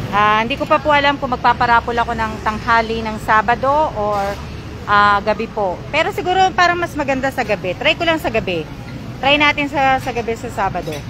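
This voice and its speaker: A high-pitched woman's voice, fairly quick and with lively intonation, against noticeable background noise. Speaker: vlogger. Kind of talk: live stream chat. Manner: hesitant, many fillers.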